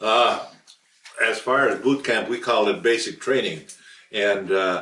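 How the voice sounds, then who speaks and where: Audible room echo surrounds a man who speaks at a fairly slow pace with very even loudness. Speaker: war veteran. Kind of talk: oral history interview. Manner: hesitant, with frequent fillers.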